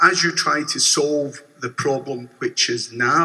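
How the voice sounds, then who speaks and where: A man with a Glaswegian accent. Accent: Glaswegian Scottish. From Scotland, Glasgow. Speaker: bank customer and protester. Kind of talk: shareholder meeting statement. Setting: convention hall meeting. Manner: formal. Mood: earnest, measured protest. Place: hall. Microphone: podium.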